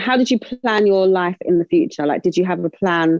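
The speaker talks at a moderate pace in a South London accent. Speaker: co-host. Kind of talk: casual interview chat.

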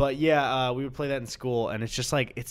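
A man talks at a fairly quick clip in an unremarkable speaking voice, pitched fairly high. The recording is very clean, with total silence behind him. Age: 20s. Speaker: YouTuber and podcast co-host. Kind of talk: casual chat. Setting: studio with microphones and headphones.

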